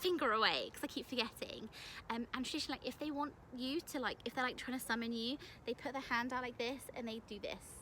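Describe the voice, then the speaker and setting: The speaker has a British accent and a bright, sharp tone. The pace is fairly quick, with ordinary pitch variation. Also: woman. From UK. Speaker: English teacher abroad and vlogger. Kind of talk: casual vlog. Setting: outdoors in a park. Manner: casual, filler-heavy.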